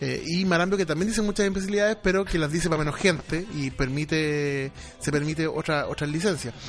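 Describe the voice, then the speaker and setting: In a Chilean accent, a man speaks at a very fast pace with a fairly high pitch and ordinary pitch variation. Noticeable background noise sits behind him. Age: 30s. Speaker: radio broadcaster. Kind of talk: casual chat.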